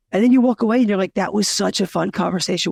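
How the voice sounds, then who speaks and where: Loud and animated in tone, a man speaks at a very fast pace with a dry, close sound and no echo. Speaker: narrative designer. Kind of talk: casual chat. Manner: talkative, animated.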